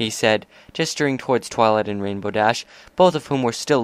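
This is delivered in an unforced reading voice.

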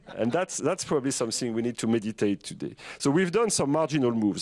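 The background is quiet as a man speaks at a very fast pace. His intonation is lively. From France. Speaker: finance executive and fund founder; speaker. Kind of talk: panel discussion. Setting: stage with audience. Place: stage. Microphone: handheld.

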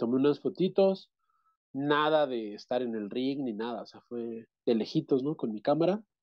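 In a dry recording with no echo and a quiet background, a man speaks at a fairly slow pace and medium pitch, with ordinary pitch variation and big swings in loudness. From central Mexico, State of Mexico. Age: 30s. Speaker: interviewee. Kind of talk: interview. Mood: relaxed, reminiscing. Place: home room. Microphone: video call.

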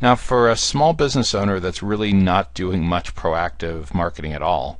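A man with an American accent, very deep and low in pitch, at a fairly quick pace with ordinary pitch variation. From US Northeast, Central New Jersey. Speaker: podcast host, marketing executive. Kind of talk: interview podcast.

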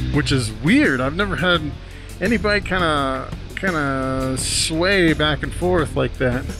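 Over clear background music, a man speaks at a very slow pace. The sound is dry, with no echo. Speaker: motorcycle reviewer. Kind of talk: casual moto vlog commentary. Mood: amused, curious. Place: motorbike. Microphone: helmet.

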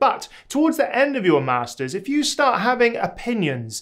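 Quiet background, a man's voice, moderate pace. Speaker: academic advice creator. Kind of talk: advice vlog talk. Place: home room.

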